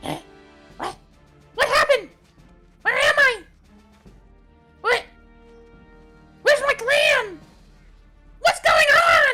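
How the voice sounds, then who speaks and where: In a put-on character voice with extremely high pitch, the speaker goes fairly slowly with long, frequent pauses while faint music plays in the background. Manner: confused, bewildered.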